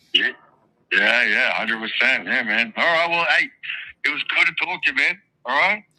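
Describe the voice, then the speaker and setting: A man's high-pitched voice, bright and sharp in tone, with very wide pitch swings and long, frequent pauses. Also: moderate pace. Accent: Australian. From Australia. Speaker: caller. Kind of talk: casual call-in chat.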